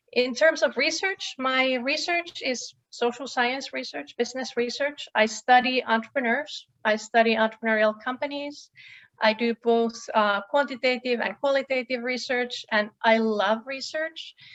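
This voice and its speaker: A woman with a Finnish accent talks at a moderate pace in a high pitch with hardly any pauses. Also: ordinary pitch variation. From Finland. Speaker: professor. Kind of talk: panel introduction talk.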